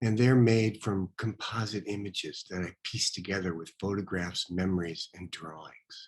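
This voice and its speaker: Soft-spoken, a man talks at a fairly low pitch with fairly even intonation. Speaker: painter and art teacher. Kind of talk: casual self-introduction.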